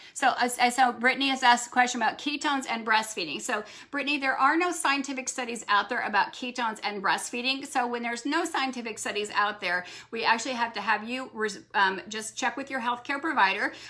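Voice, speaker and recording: A woman's high voice at a very fast pace, with hardly any pauses and ordinary pitch variation. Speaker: doctor answering product questions. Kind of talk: live Q&A. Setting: livestream.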